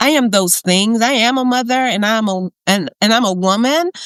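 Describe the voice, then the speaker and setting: A woman with a plain, everyday voice, lively intonation and a moderate pace, in a dry, close sound with no echo. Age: 60s. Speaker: podcast guest sharing menopause experience. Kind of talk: casual interview chat, testimony.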